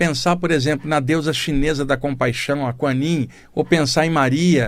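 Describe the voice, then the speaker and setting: The recording is very clean with a silent background, carrying a man's a normal speaking voice at a fairly high pitch. He talks at a moderate pace with fairly even intonation. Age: 60s. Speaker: radio host, spiritualist teacher. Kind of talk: spiritual talk on radio. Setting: radio studio. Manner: conversational.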